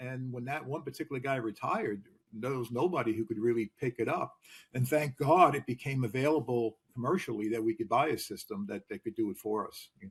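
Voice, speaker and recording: Somewhat breathy and at a medium pitch, a man talks fairly quickly with ordinary pitch variation and big swings in loudness. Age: 60s. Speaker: retired fleet manager. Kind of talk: interview. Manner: halting, many fillers.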